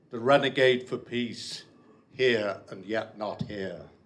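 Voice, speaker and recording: A man at a very slow pace, with audible room echo. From Liverpool, England. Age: old. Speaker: poet. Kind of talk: poetry reading. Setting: stage with audience. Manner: halting.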